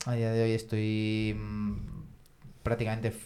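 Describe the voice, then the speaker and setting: A man's voice sits at a fairly low pitch. Music can be heard in the background. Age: 30s. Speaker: engineer, parishioner. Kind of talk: casual chat. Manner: halting, with frequent repetitions.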